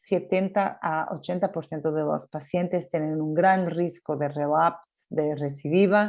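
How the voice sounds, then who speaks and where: A fairly low-pitched woman with a Portuguese accent, fairly even intonation and hardly any pauses, over a quiet background. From Portugal. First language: Portuguese (speaking Spanish). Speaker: gastroenterologist. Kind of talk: conference talk. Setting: remote presentation. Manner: hesitant, many fillers.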